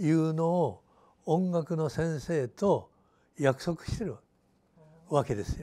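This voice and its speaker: A man with a fairly high pitch and a dark, mellow tone speaks at a very slow pace. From Japan, Hiroshima region (Fukuyama); Japan. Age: 90s. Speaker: retired teacher, peace educator, atomic bomb survivor. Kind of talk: interview. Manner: halting. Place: office. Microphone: lapel.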